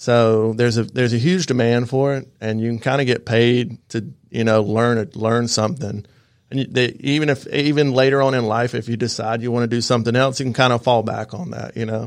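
In an American accent, a man speaks at a fairly quick pace with hardly any pauses. His pitch is medium and his intonation fairly even. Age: 30s. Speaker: plumbing business owner. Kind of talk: radio interview. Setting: radio studio. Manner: halting, many fillers.

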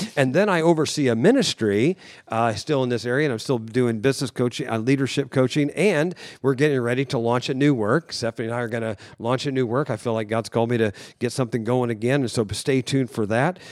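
A man with a Midwestern American accent talks at a very fast pace, medium in pitch with ordinary pitch variation. The recording is very clean, with a silent background. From US Midwest, rural northern Indiana. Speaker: contractor and ministry leader. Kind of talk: casual chat. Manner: halting.

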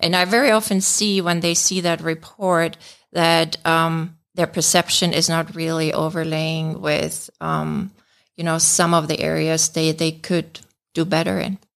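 A speaker with a German accent talks at a fairly slow pace. The intonation is fairly even on a very clean recording with a silent background. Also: woman, fairly low pitch for a woman. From Germany. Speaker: management consultant. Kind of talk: radio interview. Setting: studio.

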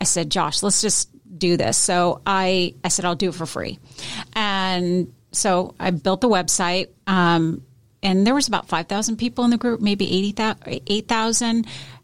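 Speaking at a fairly slow pace with an American accent, this is a normal speaking voice with ordinary pitch variation in a very clean recording with a silent background. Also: woman, medium pitch for a woman. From US Pacific Northwest, Seattle. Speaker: marketing agency owner. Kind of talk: casual interview chat. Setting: radio studio.

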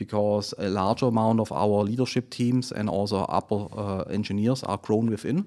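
A man with a German accent speaks at a moderate pace in a fairly low pitch, with fairly even intonation and hardly any pauses. The recording is very clean, with a silent background. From Germany, Friedrichshafen. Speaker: automotive plant manager. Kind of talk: business interview. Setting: studio. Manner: halting, many fillers.

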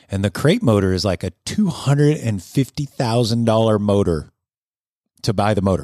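Someone with an ordinary speaking voice talks at a moderate pace with ordinary pitch variation. The recording is very clean with a silent background and a dry, close sound with no echo. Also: man, fairly low pitch for a man. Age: 50s. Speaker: car shop owner and show host. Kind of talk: casual chat. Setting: studio.

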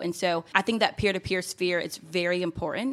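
The speaker has a normal speaking voice at a moderate pace. Intonation stays fairly even throughout. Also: woman. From US South, Georgia. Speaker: city community development manager. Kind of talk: casual interview. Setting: live event.

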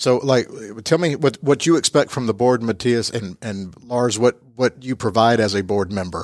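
This speaker has a Southern US accent, a moderate pace and ordinary pitch variation. The recording is very clean, with a silent background and a dry, close sound free of echo. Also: man, medium pitch for a man. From US South (Georgia). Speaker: podcast host. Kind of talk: casual interview. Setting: office space, in person.

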